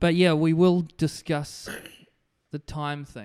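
A man is speaking. He has a New Zealand accent. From New Zealand, Hawke's Bay (Napier). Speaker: comedian. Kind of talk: casual chat. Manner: halting, stammering repetitions.

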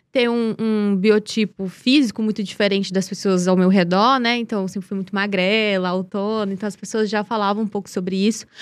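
She speaks with a northeastern Brazilian accent. Her voice sits at a fairly high pitch. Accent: northeastern Brazilian Portuguese (Piauí). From Brazil, Piauí (Teresina). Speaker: model and beauty pageant winner. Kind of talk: casual interview. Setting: studio.

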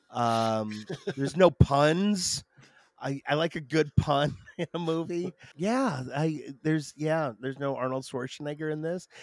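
A man with an American accent and a fairly high pitch at a fairly slow pace, with ordinary pitch variation, in a very clean recording with a silent background. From Michigan, Detroit. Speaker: comedian. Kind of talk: casual chat.

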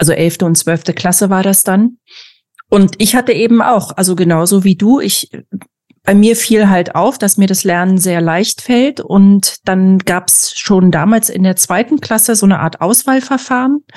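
Here is a woman with an ordinary speaking voice and a medium pitch. She talks at a moderate pace with ordinary pitch variation. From former East Germany. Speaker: podcast host. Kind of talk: casual interview.

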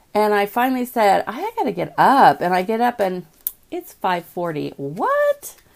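A woman speaks over noticeable background noise. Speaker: video host. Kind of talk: casual morning talk to viewers. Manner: chatty, conversational.

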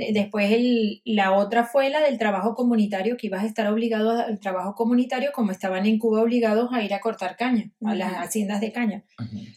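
A woman's fairly high voice in a Venezuelan accent, at a fairly quick pace with hardly any pauses and fairly even intonation. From Venezuela, Caracas. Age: 50s. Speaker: doctor. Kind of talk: interview, personal story.

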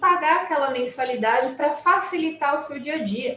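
The speaker's lively intonation carries over noticeable background noise. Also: woman. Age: 40s. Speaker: lawyer. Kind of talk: online talk to students.

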